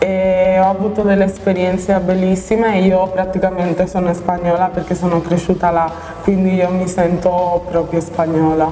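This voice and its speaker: A woman delivers her words at a moderate pace with very even loudness and a monotone, flat intonation over light background noise. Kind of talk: interview answer. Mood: calm, reflective. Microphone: lapel.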